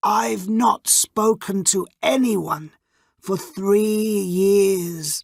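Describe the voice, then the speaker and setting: A female-sounding, put-on character voice sits at a middle pitch and moves at a very slow pace. The recording is very clean, with a silent background. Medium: read story.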